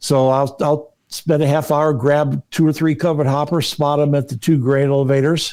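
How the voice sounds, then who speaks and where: A man with a fairly high pitch, a dark, mellow tone, monotone, flat intonation and a fairly quick pace. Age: 70s. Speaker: model railroader, art teacher. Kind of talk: podcast interview. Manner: halting, many fillers.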